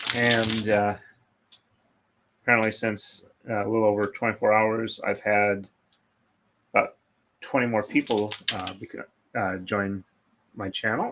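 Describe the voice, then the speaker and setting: A man speaks quietly in a fairly low pitch, at a fairly slow pace. His delivery is monotone and flat, with long, frequent pauses. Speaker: craft livestreamer, braider. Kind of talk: live stream chat while braiding. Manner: hesitant, many fillers.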